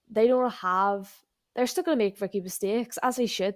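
On a very clean recording with a silent background, a woman uses an unremarkable speaking voice, fairly high in pitch with ordinary pitch variation. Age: 20s. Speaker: motorsport podcast co-host. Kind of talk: casual chat.

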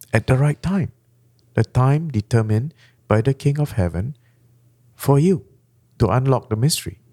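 A man with a Malaysian accent speaks at a moderate pace and medium pitch, somewhat breathy and with lively intonation, leaving long, frequent pauses. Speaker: pastor. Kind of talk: sermon-style teaching in a podcast chat.

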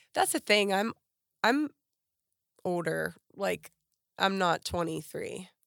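A woman with an American accent at a very slow pace with long, frequent pauses, dry and close with no echo, in a very clean recording with a silent background. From western Pennsylvania, near Pittsburgh. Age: 40s. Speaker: model and former teacher. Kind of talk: casual interview.

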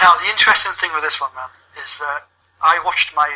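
A man is speaking. He has a British accent. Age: 30s. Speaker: wrestling gaming venue founder. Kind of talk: casual chat. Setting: online call.

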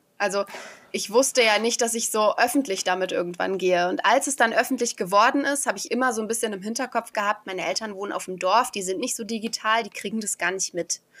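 A woman with a fairly high voice talks at a very fast pace, using ordinary pitch variation. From Germany, village. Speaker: beauty queen and podcaster. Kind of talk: guided meditation; interview.

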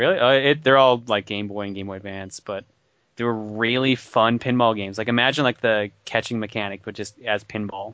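An ordinary speaking voice moves at a fairly quick pace with fairly even intonation. Its loudness swings widely. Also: man, medium pitch for a man. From Newfoundland, Canada. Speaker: podcast co-host. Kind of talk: casual chat.

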